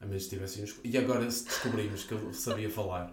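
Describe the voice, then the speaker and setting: A man speaks at a very fast pace with a fairly low pitch and fairly even intonation. Audible room echo surrounds his voice. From northern Portugal. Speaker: podcast host. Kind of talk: casual chat.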